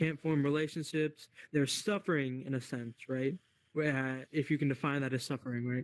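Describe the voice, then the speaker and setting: Recorded with a dry, close sound with no echo and a quiet background, a man with fairly high pitch and an ordinary speaking voice talks at a moderate pace with fairly even intonation. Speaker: discussion group host in VR. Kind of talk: moderated group discussion. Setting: VR social space. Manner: casual, with many fillers.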